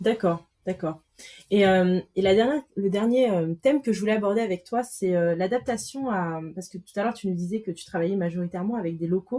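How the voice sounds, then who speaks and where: At a fairly quick pace, a woman talks in a medium-pitched, dark and mellow voice with ordinary pitch variation. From Madagascar. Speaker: podcast host. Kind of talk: interview.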